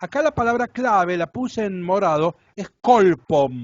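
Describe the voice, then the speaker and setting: A fairly slow man's voice with very wide pitch swings. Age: 60s. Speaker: Bible teacher. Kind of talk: lecture.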